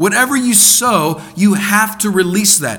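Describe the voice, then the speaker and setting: Amid noticeable background noise and audible room echo, a man with an American accent speaks at a high pitch. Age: 30s. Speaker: preacher. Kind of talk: sermon. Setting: church.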